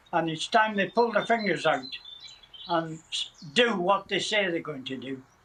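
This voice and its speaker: A man with a high-pitched voice and lively intonation talks at a moderate pace over noticeable background noise. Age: 90s. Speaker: war veteran. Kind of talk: TV interview.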